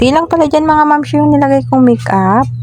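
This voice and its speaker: The speaker is a woman with a fairly quick pace. Noticeable background noise sits underneath her. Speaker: vlogger. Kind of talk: vlog voice-over. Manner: casual, chatty.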